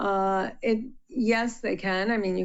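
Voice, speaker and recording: The speaker is a woman. Her intonation is fairly even throughout. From Puerto Rico. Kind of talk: interview.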